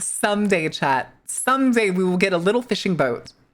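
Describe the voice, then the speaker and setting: A woman's medium-pitched voice with an animated tone and lively intonation. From US Midwest. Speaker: streamer. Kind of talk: casual chat. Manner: fast.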